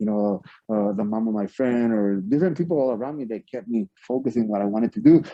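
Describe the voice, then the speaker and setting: A man at a very fast pace with a Spanish accent, medium pitch and ordinary pitch variation. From Mexico, Ciudad Juárez. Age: 40s. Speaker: professional wrestler. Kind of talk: interview. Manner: halting, many repeated words.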